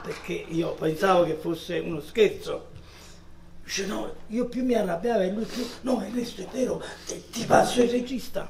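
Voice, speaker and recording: Pitched high for a man, his voice moves at a moderate pace with ordinary pitch variation as noticeable background noise carries on. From Italy. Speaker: actor. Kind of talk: public talk with audience, anecdotes. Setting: cinema hall with audience. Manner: animated storytelling. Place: hall.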